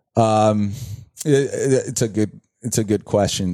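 In a Brazilian accent, a man speaks fairly slowly with a fairly low pitch, a dark, mellow tone and fairly even intonation against a quiet background. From Brazil, São Paulo. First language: Portuguese. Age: 30s. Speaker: entrepreneur and former soccer player. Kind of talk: casual interview. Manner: halting, many repetitions.

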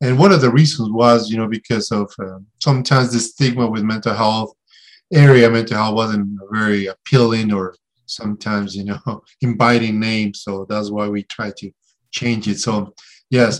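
A man with a Spanish accent and fairly even intonation. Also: medium pitch for a man, moderate pace. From Mexico. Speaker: therapist. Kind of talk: interview. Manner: hesitant, many fillers.

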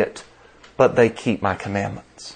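Speaking at a moderate pace, a man talks in a Southern US accent. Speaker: preacher. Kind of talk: sermon. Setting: church.

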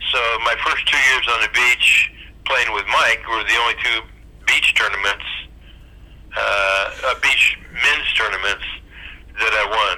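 Noticeable background noise sits under a man with an American accent who speaks at a fairly slow pace with long, frequent pauses. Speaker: retired volleyball player. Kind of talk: reminiscing interview.

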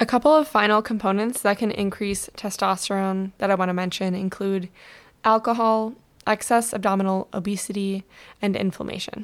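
On a very clean recording with a silent background, a woman speaks fairly quickly at a medium pitch with fairly even intonation. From US Midwest, Michigan. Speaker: podcast host and hormone coach. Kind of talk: solo podcast talk, informational. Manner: casual, conversational with fillers.

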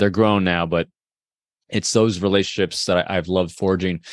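A man talks at a moderate pace in a very deep, low voice. His intonation stays monotone and flat. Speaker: podcast host. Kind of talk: interview conversation.

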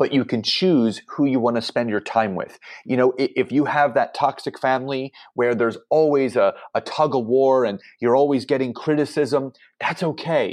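With an American accent, a man speaks in a plain, everyday voice at a medium pitch with ordinary pitch variation. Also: moderate pace. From Philadelphia, Pennsylvania. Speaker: entrepreneur and business coach. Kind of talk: podcast interview.

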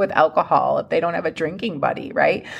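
In a very clean recording with a silent background, a woman talks at a fairly quick pace. Her tone is animated, and her pitch varies in an ordinary way. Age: 40s. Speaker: sobriety coach and podcast host. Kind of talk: casual solo podcast monologue. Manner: conversational, animated.

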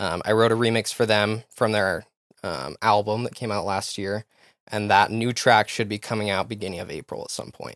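With a normal speaking voice and an American accent, a man talks at a moderate pace and a fairly low pitch, his intonation fairly even but his loudness swinging widely, on a very clean recording with a silent background. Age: 20s. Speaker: DJ and music producer. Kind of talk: casual interview.

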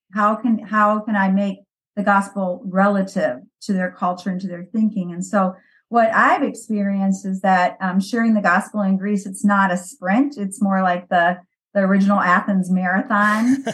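A woman with a Midwestern US accent, medium pitch, fairly even intonation, a somewhat breathy quality and a moderate pace. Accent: US Midwest. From US Midwest, Valparaiso Indiana. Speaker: missionary. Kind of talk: interview.

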